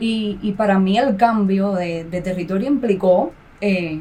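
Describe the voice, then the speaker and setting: A woman with a Cuban accent speaks very slowly at medium pitch and with fairly even intonation, over noticeable background noise. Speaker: graduate student and mother. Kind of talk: podcast interview. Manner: halting.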